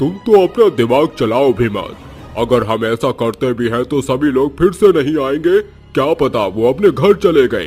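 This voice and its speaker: A man's cartoonish character voice at a medium pitch and moderate pace, with clear music in the background. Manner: commanding, impatient.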